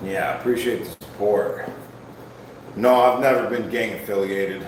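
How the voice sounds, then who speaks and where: A man speaks at medium pitch and a moderate pace with ordinary pitch variation. Audible room echo and noticeable background noise fill the recording. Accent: American. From Ohio. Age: 40s. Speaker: fitness streamer. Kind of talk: livestream workout chat. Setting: live stream. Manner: casual.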